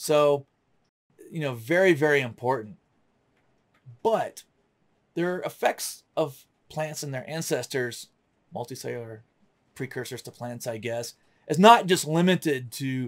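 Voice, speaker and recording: A man with a fairly high pitch and ordinary pitch variation speaks at a fairly slow pace, with long, frequent pauses. His loudness swings widely against a quiet background. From US South, North Florida. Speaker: science educator. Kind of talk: lecture. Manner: casual. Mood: relaxed, enthusiastic.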